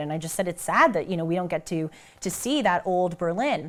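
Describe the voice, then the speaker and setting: A woman talks at a fairly quick pace in a Southern Californian accent. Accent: Valley Girl American. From United States. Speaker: commentator. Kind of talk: casual talk.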